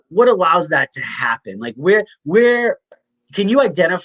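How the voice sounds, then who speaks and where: A man is speaking here. His intonation is lively. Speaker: health coach. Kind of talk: podcast interview host. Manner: upbeat.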